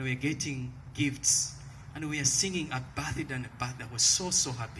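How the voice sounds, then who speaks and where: Someone with a Ugandan accent talks over noticeable background noise, with audible room echo. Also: man. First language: a Ugandan language, not English. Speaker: evangelist, ministry leader. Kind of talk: testimony. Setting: rally stage with audience.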